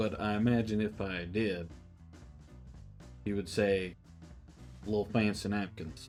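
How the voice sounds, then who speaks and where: A man with a Southern US accent talks at a fairly low pitch, his intonation fairly even. He leaves long, frequent pauses while music plays in the background. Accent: Southern American. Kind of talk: comedic commentary to camera.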